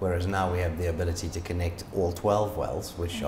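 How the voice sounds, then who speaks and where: Noticeable background noise sits behind a man with a very deep, low pitch. He talks very fast in a flat monotone. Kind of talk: interview answer. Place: office. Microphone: lapel.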